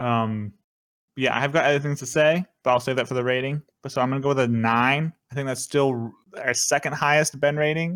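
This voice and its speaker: Speaking in an unremarkable speaking voice, a man keeps a medium pitch and fairly even intonation at a fairly quick pace, with a dry, close sound and no echo. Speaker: podcast host. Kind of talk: casual chat.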